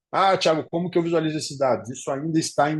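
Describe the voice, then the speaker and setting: A man's voice, with music in the background. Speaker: professor. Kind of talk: lecture.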